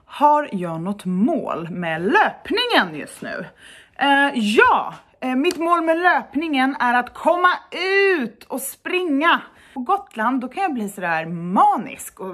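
A high-pitched woman's voice at a very slow pace with very wide pitch swings and big swings in loudness. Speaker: blogger. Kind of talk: casual vlog chat. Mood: cheerful, animated. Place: home room. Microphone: phone near.

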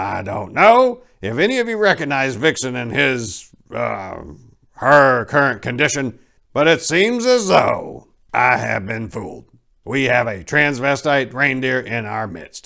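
Raspy and delivered at a fairly slow pace, this put-on character voice comes through a very clean recording with a silent background. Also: man, medium pitch for a man. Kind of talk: comic dramatic reading. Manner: stern, commanding.

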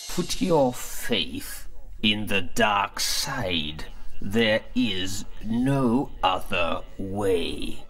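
A man at a very slow pace, very even in loudness, against clear background noise. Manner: sinister, manipulative.

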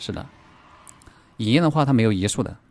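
Lively intonation marks the man's speaking. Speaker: game streamer. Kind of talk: live gameplay commentary. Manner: animated. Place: home room.

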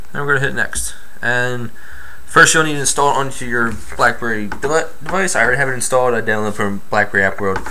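With light background noise, a man speaks at a very fast pace with ordinary pitch variation. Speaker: tech tutorial maker. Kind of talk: tutorial. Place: home room. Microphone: phone near.

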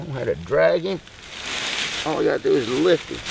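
A man speaks over noticeable background noise. The sound is dry with no echo. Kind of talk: casual outdoor commentary while working. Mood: relaxed, chuckling. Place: forest.

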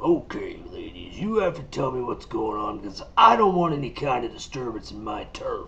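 A man puts on a raspy character voice at a moderate pace. Clear background noise runs underneath. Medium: audio drama. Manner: commanding.

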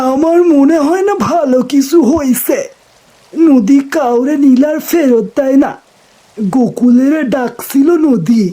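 In a put-on character voice, a man speaks at an extremely high pitch, shaky and at a fairly slow pace. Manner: fearful.

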